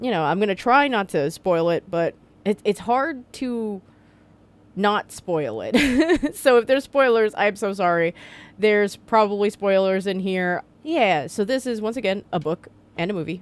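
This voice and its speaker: Lively intonation marks a woman's medium-pitched voice at a moderate pace. The recording is very clean, with a silent background. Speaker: book reviewer. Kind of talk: casual book review vlog. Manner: halting, stumbling.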